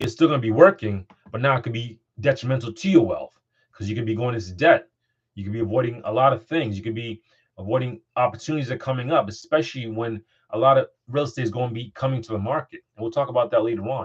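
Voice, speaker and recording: Somewhat breathy, a man talks very fast at medium pitch with ordinary pitch variation. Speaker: investment coach, podcast host. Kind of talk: motivational talk.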